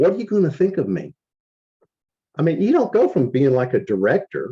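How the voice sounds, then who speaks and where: With very wide pitch swings and vocal fry, a man speaks in a dark, mellow tone, the sound dry and close with no echo. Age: 60s. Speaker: company support staff, network marketing. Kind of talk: motivational talk. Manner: animated.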